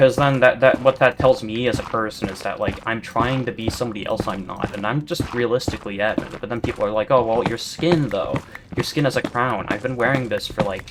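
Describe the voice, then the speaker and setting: A man speaks at a medium pitch and a moderate pace. Noticeable background noise runs under his voice. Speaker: gaming YouTuber. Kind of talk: casual gameplay commentary. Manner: monotone; rambling stammering chatter.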